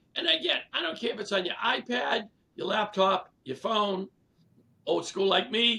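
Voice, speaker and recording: A man with a Boston accent uses a raised, projected voice at a high pitch. His pace is fairly slow, with long, frequent pauses. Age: 70s. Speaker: real estate leader and coach. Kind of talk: casual interview.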